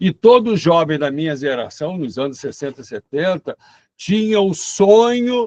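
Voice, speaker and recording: A man's high voice with very wide pitch swings, a fairly slow pace, and a dry, close sound without any echo. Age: 70s. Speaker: professor. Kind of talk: lecture.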